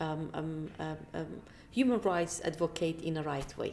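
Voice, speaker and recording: A woman's voice carries a dark, mellow tone and lively intonation. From Iraq, Kirkuk. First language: Kurdish. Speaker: politician. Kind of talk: interview. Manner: halting.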